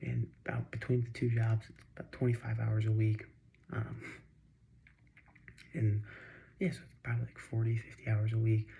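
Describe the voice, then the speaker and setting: A man speaks quietly at a moderate pace. His loudness swings a lot, and his pauses are long and frequent. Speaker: vlogger. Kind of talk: casual vlog monologue. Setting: home at night. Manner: halting, many fillers. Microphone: too quiet.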